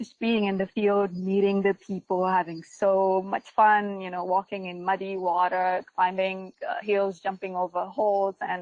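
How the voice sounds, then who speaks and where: In a Ugandan accent, a woman speaks at a medium pitch and a fairly slow pace with monotone, flat intonation and hardly any pauses, the sound dry and close with no echo. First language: Luganda. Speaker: GIS and remote sensing researcher. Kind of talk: webinar presentation. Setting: online webinar. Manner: frequent fillers and hesitations.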